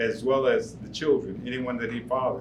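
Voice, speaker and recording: A man with an American accent and a medium pitch speaks fairly quickly, with room echo audible. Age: 70s. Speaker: war veteran. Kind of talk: storytelling performance. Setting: stage with audience.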